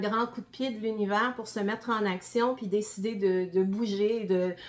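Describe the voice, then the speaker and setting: With a Quebec accent, a woman speaks at a fairly slow pace and medium pitch. Her intonation is fairly even, with noticeable background noise behind her. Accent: Québécois. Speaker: gardening presenter, former health professional. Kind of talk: presentation to an audience. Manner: many hesitations (euh).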